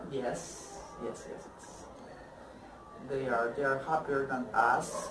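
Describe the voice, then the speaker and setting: A very slow pace over noticeable background noise. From Colombia. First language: Spanish. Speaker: former exchange student. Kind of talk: interview. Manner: halting.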